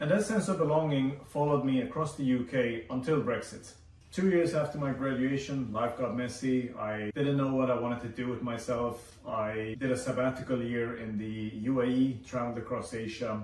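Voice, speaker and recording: With a Swedish accent, a man talks at a medium pitch with hardly any pauses, amid noticeable background noise and audible room echo. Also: ordinary pitch variation, moderate pace. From Sweden. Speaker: vlogger. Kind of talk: personal video essay.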